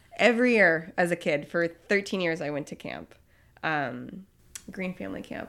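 A woman speaks with a fairly low pitch and vocal fry, her loudness swinging widely. The recording is very clean, with a silent background. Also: ordinary pitch variation, moderate pace. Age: 30s. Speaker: pastry chef. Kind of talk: casual chat. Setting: studio. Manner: animated.

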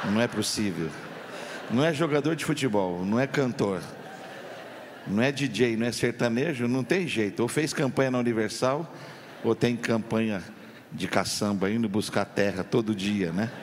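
A man at medium pitch with ordinary pitch variation, a fairly slow pace and long, frequent pauses, over noticeable background noise. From Campinas, São Paulo, Brazil. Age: 50s. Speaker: pastor. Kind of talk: sermon. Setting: church. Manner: animated.

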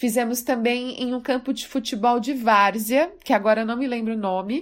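On a very clean recording with a silent background, a woman with an unremarkable speaking voice talks at a fairly slow pace, her pitch fairly high and her intonation fairly even. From Brazil, Mato Grosso do Sul. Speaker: poet. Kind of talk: personal storytelling.

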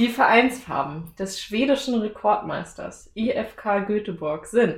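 A woman with a medium pitch talks at a very slow pace, her pitch variation ordinary. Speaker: podcast host. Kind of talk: casual chat; quiz. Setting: studio.

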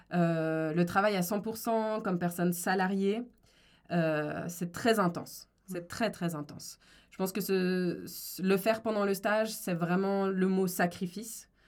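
A woman at a very slow pace, medium in pitch, with fairly even intonation. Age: 20s. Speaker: lawyer and discrimination consultant. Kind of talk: interview.

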